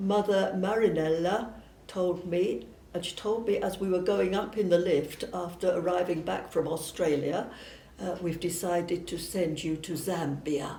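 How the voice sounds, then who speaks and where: A woman speaks fairly slowly at a fairly low pitch. Her intonation is fairly even, and room echo is audible. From southern England (Surrey). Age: 80s+. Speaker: missionary nun. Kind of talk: personal testimony. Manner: hesitant, with fillers.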